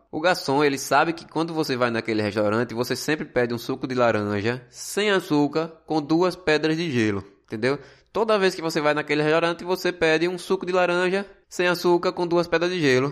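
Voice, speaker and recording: A man's plain, everyday voice, fairly high-pitched and fairly quick, with lively intonation. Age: 20s. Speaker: podcast host, business student and gas station attendant. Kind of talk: solo podcast monologue on customer service.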